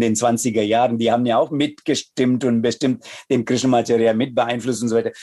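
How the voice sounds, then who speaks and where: The speaker has a Tamil accent and fairly even intonation. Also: man. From India, Chennai. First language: Tamil (speaking German). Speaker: yoga teacher and Sanskrit scholar. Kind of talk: interview conversation. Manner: halting.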